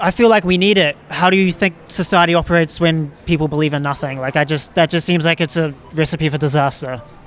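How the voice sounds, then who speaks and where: In a New Zealand accent, a man speaks at a very fast pace with hardly any pauses. His pitch is fairly high and his intonation fairly even. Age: 20s. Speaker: street interviewer and podcast host. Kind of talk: street interview.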